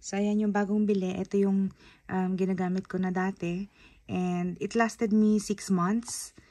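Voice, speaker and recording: In a very clean recording with a silent background, a woman speaks at medium pitch with a dark, mellow tone. Her intonation is monotone and flat, and her pace is fairly slow. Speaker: beauty vlogger. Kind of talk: product haul review. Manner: casual, chatty.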